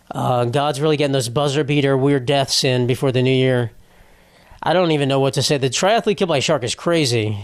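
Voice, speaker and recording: A man with a normal speaking voice and a fairly high pitch talks at a fairly quick pace, with very even loudness and ordinary pitch variation. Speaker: comedian. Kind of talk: casual podcast talk.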